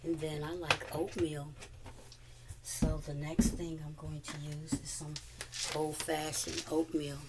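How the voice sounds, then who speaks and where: A woman speaks slowly in a very deep, low, monotone, flat voice, with long, frequent pauses and big swings in loudness. Noticeable background noise runs underneath. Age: 60s. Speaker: cooking vlogger. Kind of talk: casual tutorial. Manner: halting, many fillers.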